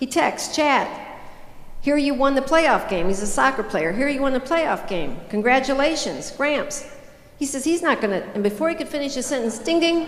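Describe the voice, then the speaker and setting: A woman with a high pitch speaks at a moderate pace in an animated tone with lively intonation. Audible room echo surrounds her voice. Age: 60s. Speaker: motivational speaker. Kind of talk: keynote speech.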